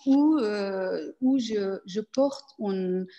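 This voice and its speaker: Her voice is fairly high in pitch, dark and mellow in tone, with ordinary pitch variation. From Afghan family, grew up in Iran and Pakistan. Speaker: performance artist. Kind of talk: interview. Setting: video call. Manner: halting.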